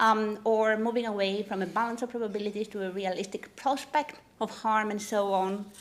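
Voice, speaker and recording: A woman speaks with a non-native accent at a fairly quick pace. Her intonation stays monotone and flat. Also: fairly high pitch for a woman. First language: not English. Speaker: legal academic. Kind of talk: conference talk. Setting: conference panel. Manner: frequent fillers (um, uh).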